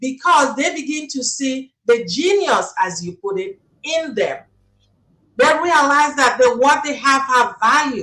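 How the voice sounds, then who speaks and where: Someone speaks very slowly in a raised, projected voice with a bright, sharp tone. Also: woman. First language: not English. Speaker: life coach. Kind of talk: interview.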